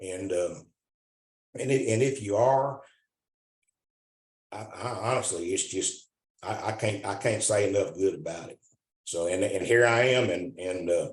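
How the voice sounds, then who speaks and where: A man speaks in a fairly low voice with a Southern US accent, at a moderate pace. His tone is somewhat breathy, with ordinary pitch variation. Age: 60s. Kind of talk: casual testimony. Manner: halting, many repetitions and restarts.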